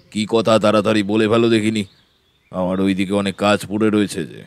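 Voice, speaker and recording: A man puts on a booming character voice at a fairly low pitch. Delivered in an act at a moderate pace, it stays flat and monotone. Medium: audio drama. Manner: curt, irritable.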